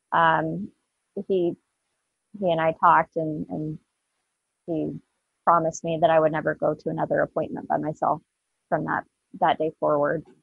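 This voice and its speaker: A woman with a US Midwestern accent speaks at a moderate pace with long, frequent pauses over a quiet background. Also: dry sound with no echo. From Southwest Iowa, rural. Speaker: cancer survivor and advocate; podcast guest. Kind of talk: testimony. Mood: earnest, emotional personal story.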